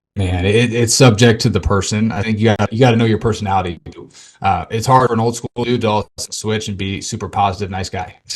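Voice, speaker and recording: At a very fast pace, a man speaks in a somewhat breathy voice at a fairly low pitch, with fairly even intonation. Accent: American. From Arizona. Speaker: mindset coach for athletes. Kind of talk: casual interview.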